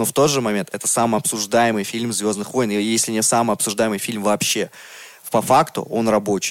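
A man speaks in a normal speaking voice at a medium pitch. His pace is fairly quick, with fairly even intonation. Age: 30s. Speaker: podcast co-host. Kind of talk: casual chat.

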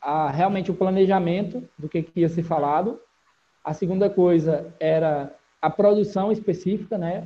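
A man's high-pitched voice with a dark, mellow tone, moderate pace and fairly even intonation. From Brazil, interior of Ceará (Barbalha). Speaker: digital marketing entrepreneur. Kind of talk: interview.

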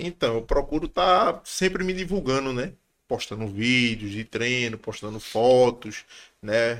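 In a very clean recording with a silent background, a man with an unremarkable speaking voice talks at medium pitch and a fairly slow pace, with lively intonation. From Pernambuco, Brazil. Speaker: MMA fighter. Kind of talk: casual chat.

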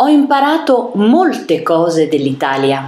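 Vocal fry marks a woman's very slow speech with very wide pitch swings. Audible room echo surrounds her. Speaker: italian language reader. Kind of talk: reading aloud.

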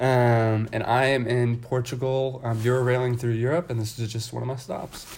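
Using a monotone, flat intonation, a man with an American accent speaks at a medium pitch and moderate pace with hardly any pauses. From US Midwest, outside Kansas City. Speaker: college student traveler. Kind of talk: casual chat.

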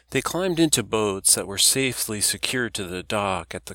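A man's fairly low voice with a bright, sharp tone at a moderate pace, on a very clean recording with a silent background. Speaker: audiobook narrator. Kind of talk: audiobook narration, reading aloud a novel. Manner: steady, storytelling, measured.

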